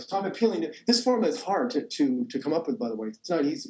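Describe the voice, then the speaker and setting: A man is talking. His pitch rises and falls across a very wide range. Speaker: math professor. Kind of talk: lecture. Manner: halting, repeats words.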